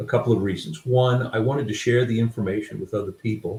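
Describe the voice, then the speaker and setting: Somewhat breathy and dark, mellow in tone, a man speaks at a moderate pace in a medium pitch. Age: 60s. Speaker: author. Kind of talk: interview. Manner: halting.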